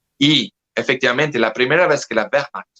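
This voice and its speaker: Slowish and dry, close with no echo, a man's bright, sharp voice carries a French accent and ordinary pitch variation. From France. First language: French (speaking Spanish). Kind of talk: interview conversation. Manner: halting.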